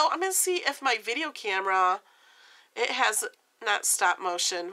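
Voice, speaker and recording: A woman's voice, marked by vocal fry, swings very widely in pitch while she talks at an even, middling speed. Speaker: vlogger. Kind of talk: casual vlog.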